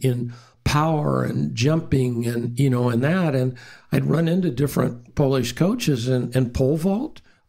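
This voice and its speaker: Somewhat breathy, a man with an American accent talks at a moderate pace and medium pitch, with ordinary pitch variation and very even loudness. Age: 70s. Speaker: strength and conditioning coach. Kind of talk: interview. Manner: rambling, self-interrupting.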